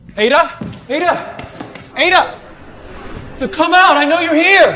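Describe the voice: In a put-on character voice with a bright, sharp tone, someone speaks at a fairly slow pace with ordinary pitch variation. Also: man, extremely high pitch for a man.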